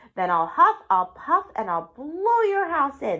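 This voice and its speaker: In a put-on character voice, a woman growls at a high pitch, swinging very widely up and down at a fairly slow pace. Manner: growling, threatening.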